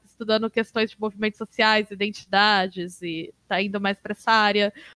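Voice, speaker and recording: A woman speaks in a normal speaking voice, fairly high in pitch, at a moderate pace with fairly even intonation. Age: 30s. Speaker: games researcher and university professor. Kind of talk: casual interview.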